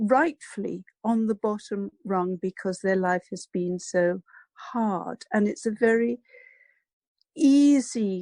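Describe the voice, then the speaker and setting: A woman speaks fairly slowly with a fairly high pitch, a dark, mellow tone and ordinary pitch variation. The sound is dry and close, with no echo. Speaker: psychologist and abuse recovery coach. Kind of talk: interview.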